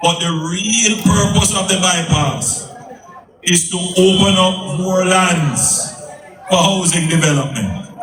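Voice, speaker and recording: Someone speaks with a Jamaican accent over noticeable background noise. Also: man. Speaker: politician. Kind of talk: political campaign speech. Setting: outdoors.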